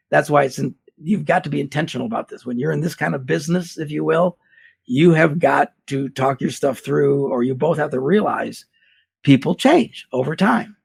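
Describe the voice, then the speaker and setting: This man's voice has vocal fry. His pitch varies in an ordinary way. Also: fairly high pitch for a man, moderate pace. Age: 60s. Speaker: pastor and marriage seminar speaker. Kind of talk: interview. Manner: animated.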